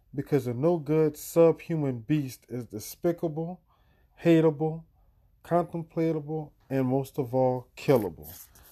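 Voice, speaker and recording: With a dark, mellow tone, a man speaks at a fairly slow pace in a fairly high pitch with ordinary pitch variation. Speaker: podcast host reading poems from a book. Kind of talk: casual podcast address to listeners. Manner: insistent and rhythmic, repeating phrases for emphasis, direct and urgent; casual and conversational in the intro and outro.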